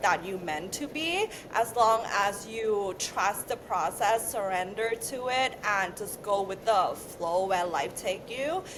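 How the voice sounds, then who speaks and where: Very slowly and with a non-native accent, a woman speaks at medium pitch with ordinary pitch variation over noticeable background noise. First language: not English. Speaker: beauty brand founder, former beauty influencer. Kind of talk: podcast interview.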